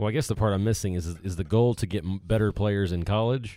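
On a very clean recording with a silent background, a man with an American accent speaks fairly quickly in a dark, mellow tone at a fairly low pitch with ordinary pitch variation. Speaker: tennis podcast co-host. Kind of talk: casual chat. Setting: studio. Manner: laughs often.

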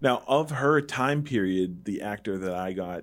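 A man with a plain, everyday voice speaks at a fairly low pitch and a moderate pace. His intonation is lively, and the recording is very clean with a silent background. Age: 30s. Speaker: movie podcast host. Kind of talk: casual chat. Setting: studio.

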